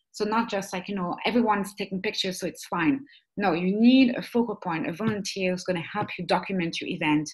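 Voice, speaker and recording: Somewhat breathy and very fast, a woman talks at a medium pitch with ordinary pitch variation. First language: not English (English is third language). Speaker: webinar trainer. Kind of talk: online training webinar. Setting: webinar. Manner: hesitant, many fillers.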